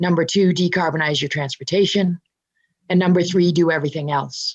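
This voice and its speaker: Using an ordinary speaking voice, a woman talks at a fairly quick pace with a fairly low pitch and fairly even intonation. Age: 60s. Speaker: clean energy advocate. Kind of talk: interview.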